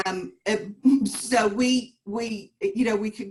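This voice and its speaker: In a somewhat breathy voice, a woman speaks with a Southern US accent. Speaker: realtor. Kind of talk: panel discussion. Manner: halting.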